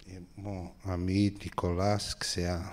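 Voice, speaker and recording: A man speaks in a Portuguese accent. His pitch is very deep and low. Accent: Portuguese accent in French, limited French. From Brazil, Rio de Janeiro. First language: Portuguese (speaking French). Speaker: film director. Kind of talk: public Q&A talk. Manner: halting.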